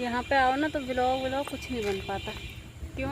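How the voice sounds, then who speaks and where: Soft-spoken, a woman talks with audible room echo and noticeable background noise. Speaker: vlogger. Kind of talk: casual vlog chat. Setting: outdoors on rooftop.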